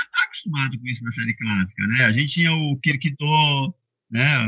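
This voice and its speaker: Lively intonation from a man pitched fairly high. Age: 50s. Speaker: online shop owner, fan. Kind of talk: casual panel discussion. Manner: hesitant, with many fillers.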